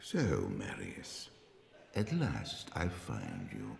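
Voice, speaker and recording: Using a put-on character voice, a man speaks very slowly at a very deep, low pitch, with a slight echo. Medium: short film. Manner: measured, authoritative.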